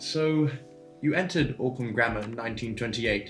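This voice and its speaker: With music in the background, a man talks at a medium pitch and varies it in an ordinary way. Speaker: interviewer. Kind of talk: interview questions.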